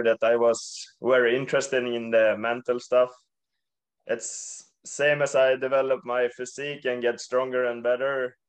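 A man with a Swedish accent in a monotone, flat delivery against a quiet background. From Sweden. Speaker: professional ice hockey player. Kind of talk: casual interview. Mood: relaxed and friendly. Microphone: video call.

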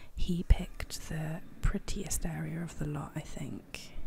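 Soft-spoken and somewhat breathy, a woman whispers at a fairly slow pace. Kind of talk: ASMR gameplay commentary. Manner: whispered, soft-spoken.

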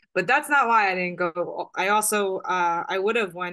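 At a moderate pace, the voice has a bright, sharp tone and an American accent. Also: woman, quiet background. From New York, Staten Island; New York. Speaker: client. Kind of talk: psychic reading session. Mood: earnest, somewhat emotional. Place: home room. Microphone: webcam.

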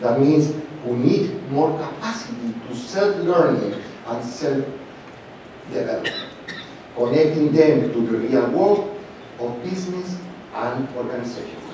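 With strong room echo and light background noise, a man speaks with lively intonation. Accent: Spanish. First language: Spanish. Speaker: professor and conference chair. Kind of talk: opening speech. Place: hall. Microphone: podium.

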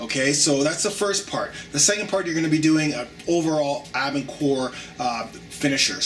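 A man with ordinary pitch variation over light background noise. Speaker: fitness trainer. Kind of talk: tutorial. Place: home room.

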